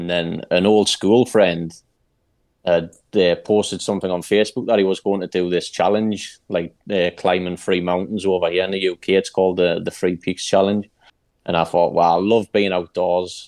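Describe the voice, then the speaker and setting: A man's very deep, low voice in a flat monotone at a moderate pace. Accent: Geordie. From Newcastle, northern England. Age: 30s. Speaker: mental health advocate. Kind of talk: casual chat.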